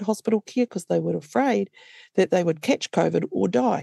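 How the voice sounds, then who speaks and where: A woman speaking at a fairly quick pace against a quiet background. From New Zealand, Waikato. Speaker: traditional Māori healer and health policy advisor. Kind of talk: interview. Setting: video call. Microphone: possible audio issues over Zoom.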